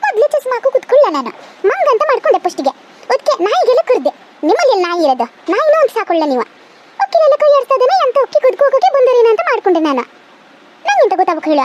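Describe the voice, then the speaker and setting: A woman's cartoonish character voice at an extremely high pitch, fairly quick, with very wide pitch swings. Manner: grumbling, suspicious.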